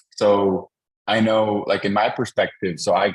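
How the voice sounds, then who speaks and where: The speaker is a man with a fairly low pitch. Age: young. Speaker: app developer and panel host. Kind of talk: panel discussion. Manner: halting, many fillers.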